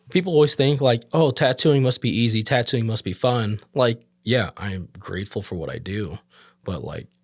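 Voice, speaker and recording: A man with a normal speaking voice at a medium pitch, moderate pace, lively intonation and big swings in loudness, in a very clean recording with a silent background. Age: 30s. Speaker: tattoo artist. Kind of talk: casual chat.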